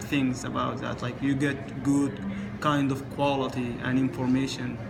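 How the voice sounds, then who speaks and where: A man with an Arabic accent and a fairly high pitch, at a fairly slow pace, with audible room echo and noticeable background noise. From Sudan. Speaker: international student. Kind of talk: interview.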